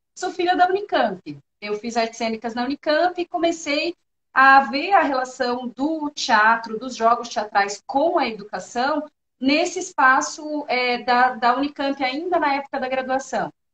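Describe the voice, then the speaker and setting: A woman with a São Paulo accent speaks at a high pitch and a fairly slow pace, with lively intonation. The sound is dry and close, with no echo. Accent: São Paulo (paulista). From São Paulo state, Brazil. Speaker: university professor. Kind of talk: interview.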